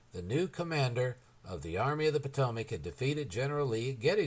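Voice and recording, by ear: The pitch varies in an ordinary way as someone is reading aloud in a natural voice.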